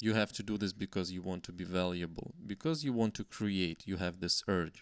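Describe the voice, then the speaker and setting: A man with a Slavic accent, in a very clean recording with a silent background and a dry, close sound with no echo. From Slavic country. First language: Slavic language. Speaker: YouTuber. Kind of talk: vlog monologue. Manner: halting.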